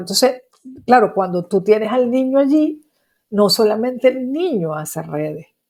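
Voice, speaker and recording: Speaking at a fairly slow pace with lively intonation, a woman with a Venezuelan accent is heard in a very clean recording with a silent background. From Venezuela, Maracaibo. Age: 60s. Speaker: psychologist. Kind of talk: interview.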